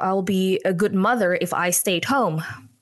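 Speaking with an Indonesian accent, the voice shows ordinary pitch variation. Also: woman. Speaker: communication trainer and consultant. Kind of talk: interview podcast. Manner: laughs often.

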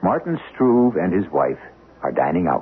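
A man speaks low with a husky, rough edge. His pitch swings are big and his pace moderate.

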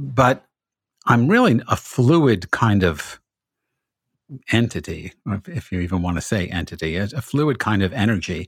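A man with a fairly low, somewhat breathy voice and lively intonation speaks with long, frequent pauses on a very clean recording with a silent background. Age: 70s. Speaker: podcast host, rabbi. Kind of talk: interview. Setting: podcast.

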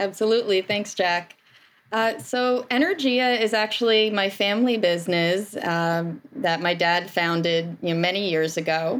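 This woman has an ordinary speaking voice at a medium pitch, with ordinary pitch variation and a moderate pace. Her loudness is very even, and the recording is very clean with a silent background. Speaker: energy company owner and energy savings engineer. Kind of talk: professional interview.

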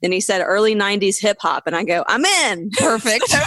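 A woman speaks in a Southern US accent with a bright, sharp tone, recorded very cleanly against a silent background. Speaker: comedian and podcast co-host. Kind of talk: casual interview chat.

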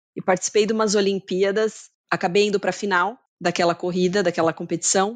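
At a very fast pace, a woman with a medium pitch and fairly even intonation talks against a quiet background. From Brazil, Campinas (São Paulo state). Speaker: marketing executive. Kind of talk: interview.

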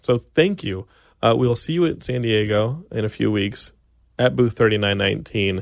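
With an American accent, a man talks in a fairly low pitch with lively intonation. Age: 30s. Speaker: podcast host. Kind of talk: casual chat. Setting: studio. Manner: fast; mumbling.

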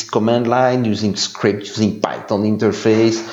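In a Belgian accent, a man speaks at a fairly slow pace, with audible room echo. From Belgium. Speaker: security analyst. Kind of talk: interview.

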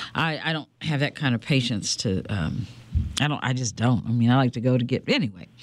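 Lively intonation from a woman with a very deep, low pitch. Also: fairly quick pace. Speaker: radio host. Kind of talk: live radio talk show with open lines. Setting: studio.

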